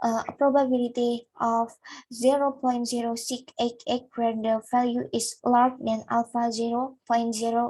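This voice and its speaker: A woman's high-pitched voice with a non-native accent, dark and mellow in tone, at a moderate pace. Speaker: student presenter. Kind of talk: academic presentation. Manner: halting.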